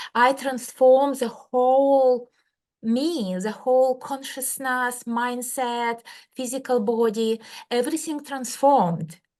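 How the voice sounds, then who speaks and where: Someone with a Russian accent speaks at a very slow pace, with ordinary pitch variation. The background is quiet. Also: woman, high pitch for a woman. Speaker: medical doctor and healer. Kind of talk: interview.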